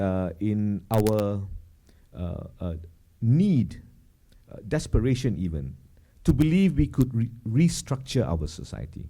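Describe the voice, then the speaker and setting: With a dark, mellow tone, a man speaks very slowly at a fairly low pitch, with long, frequent pauses. His pitch swings very widely. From Malaysia. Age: 50s. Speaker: cultural commentator. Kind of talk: public talk. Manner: halting, many fillers.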